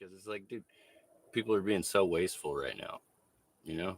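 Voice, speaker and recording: A man in a dry, close sound with no echo. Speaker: livestreamer and street busker. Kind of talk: casual livestream chat while crafting. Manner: loud; casual, rambling with fillers.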